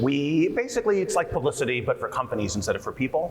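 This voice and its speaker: A man with an American accent at a very fast pace, with noticeable background noise. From US Northeast, New Jersey. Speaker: PR agency founder and CEO. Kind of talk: panel discussion. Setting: conference stage with audience.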